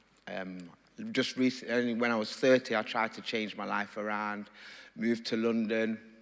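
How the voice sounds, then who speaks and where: A man speaks in a medium pitch with an East Midlands accent. His pace is moderate. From Nottingham, England. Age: 40s. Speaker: father from a dads group. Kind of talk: personal testimony.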